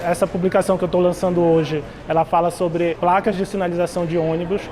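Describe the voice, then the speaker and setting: A man's fairly quick, high-pitched voice over noticeable background noise. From northern Brazil (Belém, Pará). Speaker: graphic artist. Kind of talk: interview.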